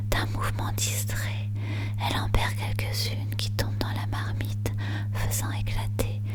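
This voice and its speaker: Someone whispers, soft-spoken, at a very slow pace. Noticeable background noise sits underneath. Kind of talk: whispered ASMR poetry reading for sleep. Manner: whispered, soft.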